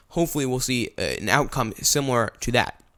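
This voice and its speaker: Recorded very cleanly against a silent background, a man speaks very fast at a medium pitch, his bright, sharp tone carrying fairly even intonation. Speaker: podcast host. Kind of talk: political commentary monologue.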